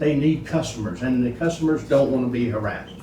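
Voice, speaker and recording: A man talks at medium pitch and a moderate pace with ordinary pitch variation. Audible room echo surrounds his voice. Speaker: public commenter at county meeting. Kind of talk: public comment at meeting. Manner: loud.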